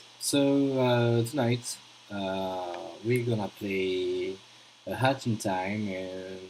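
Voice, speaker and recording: Over noticeable background noise, a man with a strong French accent speaks very slowly at a fairly low pitch with ordinary pitch variation. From France. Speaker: gaming streamer. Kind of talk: live stream commentary. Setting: live stream. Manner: halting, many fillers.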